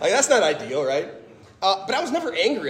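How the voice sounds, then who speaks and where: A man with a US Midwestern accent talks at a very fast pace. Noticeable background noise sits behind him. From US Midwest, Fort Wayne, Indiana. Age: 30s. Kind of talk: testimony talk. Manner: animated.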